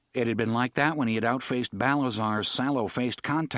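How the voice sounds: What comes through is a natural reading voice.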